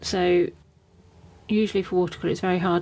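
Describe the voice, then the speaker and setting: A woman mumbles her words. She speaks at a fairly quick pace. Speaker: watercolour artist. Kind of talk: live painting stream, casual narration. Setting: live stream. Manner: mumbling, chatty.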